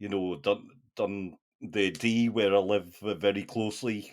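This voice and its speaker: The recording is very clean, with a silent background. A man with a fairly low pitch speaks with fairly even intonation. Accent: northeast English. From northeast England. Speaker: film podcast host. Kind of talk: casual chat. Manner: hesitant.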